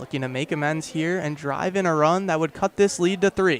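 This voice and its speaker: A man talks at a moderate pace. He has an ordinary speaking voice, fairly high in pitch. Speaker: radio play-by-play announcer. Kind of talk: radio baseball play-by-play.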